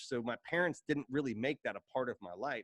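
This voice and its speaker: A man speaks in an Appalachian accent with very wide pitch swings. The sound is dry and close, with no echo. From Appalachia, Kentucky-Ohio border. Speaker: writer and editor. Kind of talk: casual interview chat. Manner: animated.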